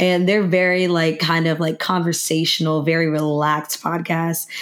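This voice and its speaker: Fairly low-pitched, a woman talks at a fairly quick pace with fairly even intonation, with noticeable background noise behind her. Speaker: podcast host. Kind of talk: casual chat.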